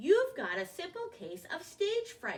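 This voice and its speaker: A put-on character voice from a woman, pitched extremely high and delivered at a fairly slow pace. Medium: read story. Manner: reassuring.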